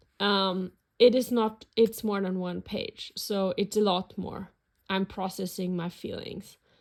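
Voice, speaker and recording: A woman speaks in a flat monotone at a fairly slow pace, her pitch medium, with a German accent. The recording is very clean, with a silent background. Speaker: planner and journaling YouTuber. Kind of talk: casual flip-through video. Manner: hesitant, many fillers.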